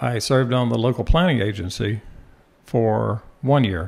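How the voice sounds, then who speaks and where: At a fairly slow pace, a man with an American accent speaks at a medium pitch. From Florida. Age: 60s. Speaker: political candidate. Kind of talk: interview.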